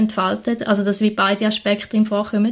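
A somewhat breathy woman's voice. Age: 20s. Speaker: vicar (trainee pastor), podcast co-host. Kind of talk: casual conversation.

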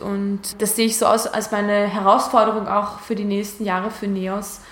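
The speech comes at a moderate pace in a flat monotone. Room echo is audible, along with noticeable background noise. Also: woman. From Georgia, partly raised in Hungary. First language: Hungarian / Georgian (speaking German). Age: 20s. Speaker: Europe activist, former actress. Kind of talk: talk mixed with reading aloud from her book. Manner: hesitant, repeats words.

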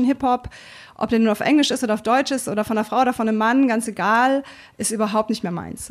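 This is a woman's voice. Her pitch is fairly high. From Germany, Berlin. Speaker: hip-hop pioneer and former DJ. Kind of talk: interview. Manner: hesitant, many fillers.

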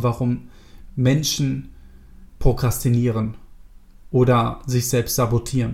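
This man's medium-pitched voice comes across as somewhat breathy. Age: 30s. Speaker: self-improvement podcast host. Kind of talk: solo podcast monologue. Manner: casual with filler words.

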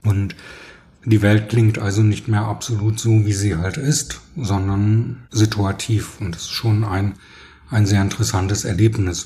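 A man speaks at a fairly slow pace, his pitch fairly low and his intonation fairly even. His tone is dark and mellow, and somewhat breathy. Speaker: publicist. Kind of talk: interview.

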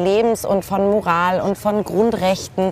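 A woman's voice comes through with noticeable background noise around it. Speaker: lawyer, author and TV presenter. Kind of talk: casual chat. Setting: outdoors at a kiosk bar.

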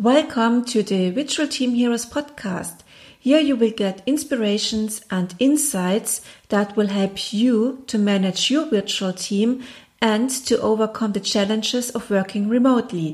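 With a German accent, a woman talks at a fairly slow pace in a somewhat breathy voice. Her pitch is fairly high with ordinary variation, and the recording is very clean with a silent background. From Germany. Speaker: podcast host. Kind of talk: interview.

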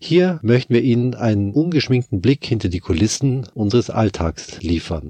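With a slight Bavarian accent, a man of medium pitch speaks at a moderate pace with very wide pitch swings, the sound dry and close with no echo. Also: hardly any pauses. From Bavaria, Germany. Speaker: orchestra violist, podcast host. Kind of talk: scripted podcast intro and casual chat. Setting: Skype call.

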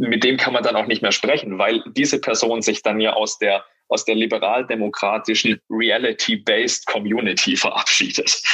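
A man talks at a moderate pace. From southern Germany. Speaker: podcast co-host. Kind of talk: casual chat.

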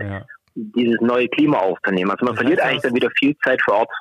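A man with a Swabian accent, dry and close with no echo. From Swabia, southwest Germany. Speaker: climate protection worker. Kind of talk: phone interview. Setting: phone call.

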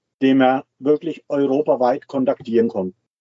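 A moderate pace from a man with a fairly high pitch. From Switzerland. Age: 60s. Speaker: retiree living full-time in a motorhome. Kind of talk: interview.

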